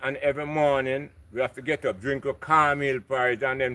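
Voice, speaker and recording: Speaking at a fairly quick pace, a man with a Jamaican accent has a fairly high pitch, a bright, sharp tone and monotone, flat intonation. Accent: Jamaican English with patois. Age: 60s. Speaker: local resident. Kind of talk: casual chat.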